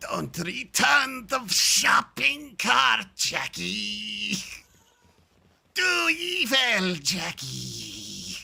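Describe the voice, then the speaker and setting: A man speaks in a raspy, put-on character voice at a very slow pace. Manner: angry, pure evil.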